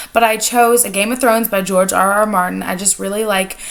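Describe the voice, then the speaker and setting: There is noticeable noise in the background. A woman with a medium-pitched voice talks at a fairly quick pace. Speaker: book reviewer. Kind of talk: casual talk to camera.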